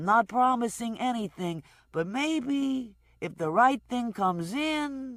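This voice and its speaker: A put-on character voice at a fairly high pitch moves at a fairly slow pace in a very clean recording with a silent background. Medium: read story. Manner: wheedling, evasive.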